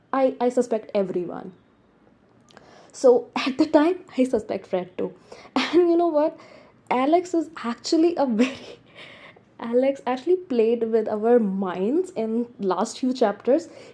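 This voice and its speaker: Speaking at a fairly slow pace with long, frequent pauses, a woman with a non-native accent has a high pitch and a dark, mellow tone. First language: not English. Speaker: book reviewer. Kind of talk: casual book review monologue. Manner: halting, many restarts.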